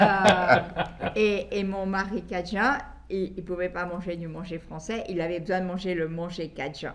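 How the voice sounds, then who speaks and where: A woman speaks at a fairly slow pace with a medium pitch. Her intonation is fairly even, with noticeable background noise. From Belgium. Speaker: guest interviewee. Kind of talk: interview on a call-in program. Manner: halting, with many hesitations.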